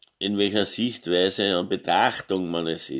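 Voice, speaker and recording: Against a quiet background, a man talks with a very deep, low pitch and fairly even intonation. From Austria. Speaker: gaming YouTuber; vlogger. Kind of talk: opinion monologue. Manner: halting, many filler sounds. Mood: indignant, emphatic at end. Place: home room. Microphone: phone near.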